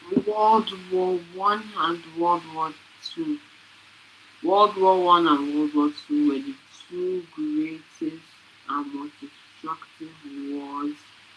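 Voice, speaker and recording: A woman's fairly low voice at a very slow pace, with very wide pitch swings, long, frequent pauses and noticeable background noise. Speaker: student presenter. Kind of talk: reading aloud. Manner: halting; soft-spoken. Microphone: too quiet at first.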